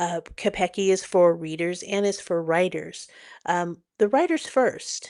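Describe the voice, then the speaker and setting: Against a quiet background, a woman talks at a fairly slow pace. Her medium-pitched voice has ordinary pitch variation. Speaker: podcast host and publisher. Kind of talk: casual podcast monologue.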